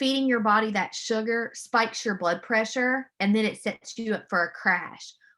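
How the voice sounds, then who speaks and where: Loud and bright with a sharp tone, a woman's voice shows ordinary pitch variation. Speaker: mental health counselor. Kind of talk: webinar presentation. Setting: video call. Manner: animated.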